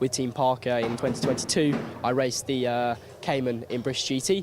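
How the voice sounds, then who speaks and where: Through noticeable background noise, a man talks at a moderate pace and medium pitch. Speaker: racing driver. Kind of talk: interview.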